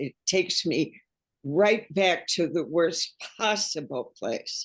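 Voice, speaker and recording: Against a quiet background, a woman talks at a very slow pace. Her fairly low voice has lively intonation. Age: 80s+. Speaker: caregiver. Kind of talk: panel discussion.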